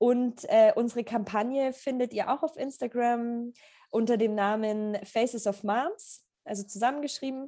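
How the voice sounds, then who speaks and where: Her tone is dark and mellow, with a high pitch for a woman. She speaks at a fairly slow pace with fairly even intonation. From Germany, Augsburg area. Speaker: photographer. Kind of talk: interview. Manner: halting with many fillers.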